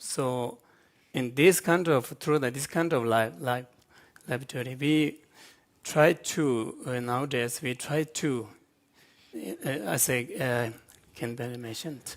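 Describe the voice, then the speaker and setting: In a Tibetan accent, the speaker goes at a fairly slow pace with long, frequent pauses and ordinary pitch variation. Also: man, medium pitch for a man. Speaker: Buddhist monk scholar. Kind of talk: panel discussion. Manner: halting.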